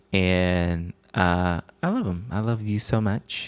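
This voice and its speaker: A very slow pace in a very clean recording with a silent background. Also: man. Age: 20s. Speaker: fiancé of the host, director and producer.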